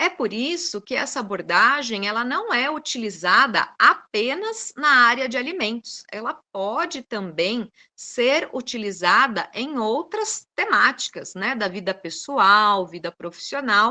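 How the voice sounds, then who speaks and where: A woman speaks at a fairly slow pace in a fairly high pitch with a bright, sharp tone and hardly any pauses. Her pitch swings very widely. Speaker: food science researcher and seminar speaker. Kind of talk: lecture.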